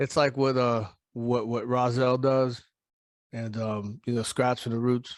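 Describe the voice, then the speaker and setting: At a fairly slow pace, a man speaks in a medium pitch. His intonation is monotone and flat. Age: 40s. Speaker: performing artist, rapper and producer. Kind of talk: casual chat. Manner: halting.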